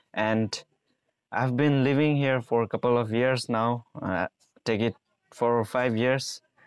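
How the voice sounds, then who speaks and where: A man's fairly slow speech with fairly even intonation, dry with no echo, over a quiet background. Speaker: travel vlogger. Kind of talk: casual vlog chat. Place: garden. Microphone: lapel.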